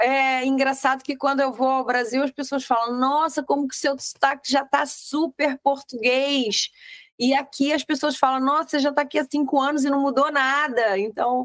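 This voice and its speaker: Delivered at a moderate pace, the speech keeps fairly even intonation and very even loudness. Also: woman, high pitch for a woman. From Rio de Janeiro, Brazil. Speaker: real estate mentor. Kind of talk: interview podcast chat.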